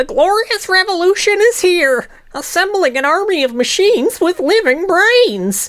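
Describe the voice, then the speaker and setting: A woman's put-on character voice at an extremely high pitch and moderate pace, over light background noise. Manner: dramatic, grandiose.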